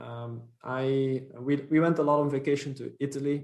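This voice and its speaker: A man speaks in a monotone with flat intonation. He has a Dutch accent. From Belgium (Flanders). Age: 30s. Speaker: company founder and CEO. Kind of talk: podcast interview. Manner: hesitant, many fillers.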